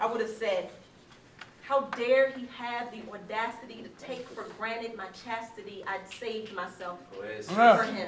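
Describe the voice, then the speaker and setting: Over noticeable background noise, a woman speaks at a fairly slow pace with fairly even intonation and big swings in loudness. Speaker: spoken word poet. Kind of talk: live spoken word poetry performance. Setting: live venue with audience.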